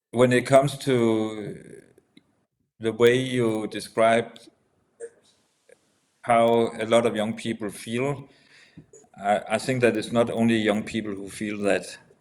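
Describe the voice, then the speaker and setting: A man with a Danish accent at a medium pitch, very slow pace, monotone flat intonation and long, frequent pauses. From Denmark. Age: 70s. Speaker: entrepreneur, former politician. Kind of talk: casual discussion. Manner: halting.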